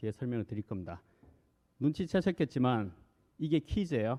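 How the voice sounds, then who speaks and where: A man talks with a Busan accent. His pace is fairly quick. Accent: Gyeongsang (Busan) dialect. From Korea, Busan. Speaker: corporate director, presenter. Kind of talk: conference presentation. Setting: stage with audience. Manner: conversational, frequent fillers.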